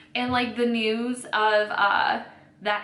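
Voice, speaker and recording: A woman with an American accent speaks at a fairly high pitch. Noticeable background noise and audible room echo are present. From US Midwest, northeastern Ohio. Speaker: beauty YouTuber. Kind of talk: casual chat while doing makeup. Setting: at home. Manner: fast.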